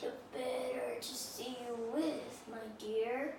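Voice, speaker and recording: A woman puts on a high-pitched character voice at a very slow pace, with slight echo and loud background noise. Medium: read story.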